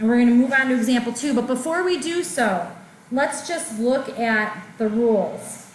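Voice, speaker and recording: Audible room echo around a woman's voice, pitched high. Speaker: math teacher. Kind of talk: lecture.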